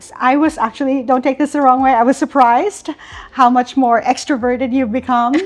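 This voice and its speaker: A woman with a high pitch speaks at a fairly quick pace with fairly even intonation and big swings in loudness. Noticeable background noise runs underneath. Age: 60s. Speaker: retired corporate talent leader. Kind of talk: interview conversation.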